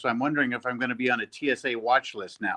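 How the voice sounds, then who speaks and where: A man speaks with an American accent in a bright, sharp tone. The sound is dry and close, with no echo. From South Dakota, then Lodi, California from age nine. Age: 60s. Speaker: sports fan, airline worker. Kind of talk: casual chat.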